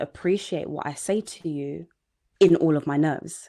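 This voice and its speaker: The speaker is a woman with a fairly low pitch. Her pitch variation is ordinary. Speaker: sales coach. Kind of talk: live online training. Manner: jittery.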